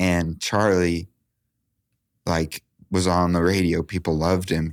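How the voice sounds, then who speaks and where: A man's very deep, low voice, monotone and flat at a fairly slow pace, dry and close with no echo on a very clean recording with a silent background. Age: 30s. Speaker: podcast host. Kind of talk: casual interview chat. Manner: halting.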